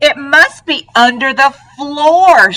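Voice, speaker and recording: Using a put-on character voice, a woman speaks in a high pitch. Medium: read story. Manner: excitable.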